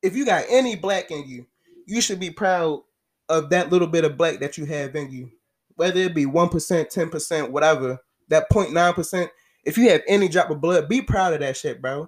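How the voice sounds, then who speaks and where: On a very clean recording with a silent background, a man speaks at a moderate pace with a high pitch and ordinary pitch variation. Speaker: video creator ranting. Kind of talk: angry rant, profane and emphatic, delivered as a passionate monologue. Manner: animated; loud, forceful, outspoken.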